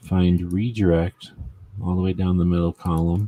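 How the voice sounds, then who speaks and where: A man speaks at a moderate pace in a very deep, low voice with a dark, mellow tone and fairly even intonation, recorded with a dry, close sound and no echo. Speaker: gun rights show host. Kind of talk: casual livestream chat. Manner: mumbling.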